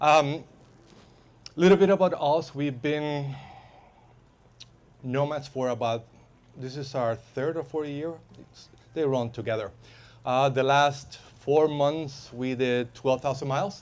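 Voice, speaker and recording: A man speaks with a Spanish accent at a fairly high pitch, his loudness swinging widely. The recording is very clean over a silent background, with long, frequent pauses. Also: ordinary pitch variation, fairly slow pace. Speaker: van lifer and safety instructor. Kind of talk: workshop talk. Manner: halting, many fillers.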